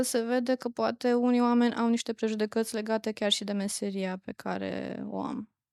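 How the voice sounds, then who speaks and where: A normal speaking voice comes through on a very clean recording with a silent background. The sound is dry and close, with no echo. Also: woman. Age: 30s. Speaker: psychotherapist. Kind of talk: interview.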